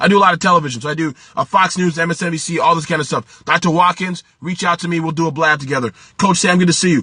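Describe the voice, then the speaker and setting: The speech is animated in tone and comes at a very fast pace. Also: man, high pitch for a man. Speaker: small business coach and livestreamer. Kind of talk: live stream talk to viewers. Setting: live video stream. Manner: hurried.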